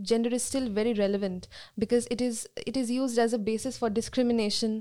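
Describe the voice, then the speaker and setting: A woman with a Bengali accent speaks at a moderate pace in a fairly high, dark, mellow voice with monotone, flat intonation. The recording is very clean, with a silent background. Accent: Indian English, Bengali. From India, Calcutta. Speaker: sociology student. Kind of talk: panel discussion.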